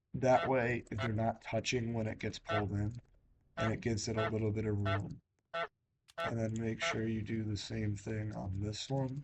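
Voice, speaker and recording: With music in the background, a man speaks at a moderate pace in a medium pitch, using ordinary pitch variation and long, frequent pauses. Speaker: gaming video creator. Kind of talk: tutorial. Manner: casual, hesitant with fillers.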